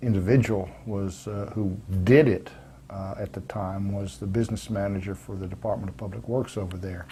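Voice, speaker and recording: A man with an American accent speaks at a moderate pace in a fairly low, somewhat breathy voice with a dark, mellow tone, his intonation fairly even but his loudness swinging widely. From US, military family moving often. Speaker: retired army veteran and credit union board member. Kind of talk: oral history interview. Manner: hesitant, many filler words.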